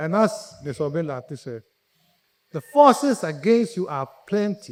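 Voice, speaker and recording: Speaking with a Ghanaian accent, a man's voice swings very widely in pitch. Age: 70s. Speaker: conference speaker, entrepreneur. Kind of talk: motivational talk. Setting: conference stage with audience.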